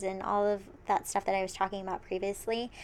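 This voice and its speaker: A woman talks with a medium pitch and fairly even intonation. It is a normal speaking voice. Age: 20s. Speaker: podcast co-host. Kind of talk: casual chat.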